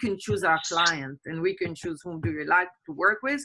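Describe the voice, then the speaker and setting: A woman is talking. Her pace is moderate. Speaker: communication and empowerment coach. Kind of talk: interview answer. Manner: passionate.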